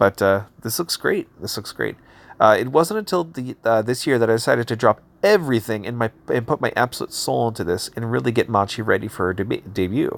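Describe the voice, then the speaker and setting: An ordinary speaking voice from a man, with ordinary pitch variation, in a very clean recording against a silent background. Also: medium pitch for a man, fairly quick pace, dry, close sound with no echo. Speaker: YouTube commentator reviewing indie comics. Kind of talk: casual commentary while reading a campaign page.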